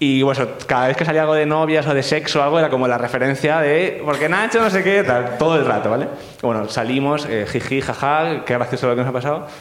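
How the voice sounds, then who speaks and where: A man with a fairly high voice talks at a very fast clip with hardly any pauses, his loudness very even and his pitch moving in an ordinary way over noticeable background noise. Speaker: advertising worker. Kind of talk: storytelling on stage. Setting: stage with audience.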